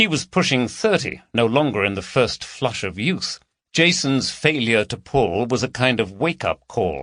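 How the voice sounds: Lively intonation runs through a natural reading voice, heard over a quiet background.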